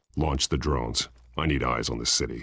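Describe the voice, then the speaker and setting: A man's put-on character voice, very deep and low, with fairly even intonation at a fairly quick pace. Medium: video game. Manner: terse, clipped.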